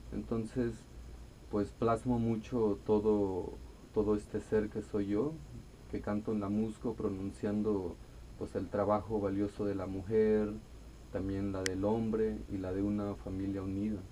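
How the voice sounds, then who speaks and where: A man talks slowly in a fairly low voice with an Oaxacan accent. His tone is dark and mellow, and his intonation stays monotone and flat. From Mexico, Costa Chica of Guerrero (Xochistlahuaca). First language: Amuzgo (speaking Spanish). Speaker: singer-songwriter. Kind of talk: radio interview. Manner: calm, serene.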